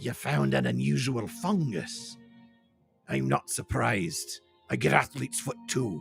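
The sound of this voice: A man's raspy put-on character voice, very deep and low, at a fairly slow pace with faint music in the background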